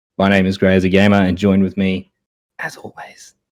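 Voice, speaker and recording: A man with an Australian accent speaks at a moderate pace in a fairly low voice with a dark, mellow tone. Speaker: podcast host. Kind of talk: casual chat. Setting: live-streamed podcast.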